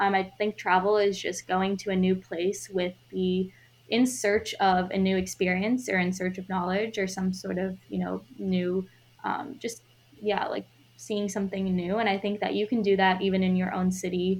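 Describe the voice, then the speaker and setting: The woman has an ordinary speaking voice at medium pitch, with fairly even intonation. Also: moderate pace. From US Midwest, Chicago suburbs. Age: 20s. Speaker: solo traveler. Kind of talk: interview.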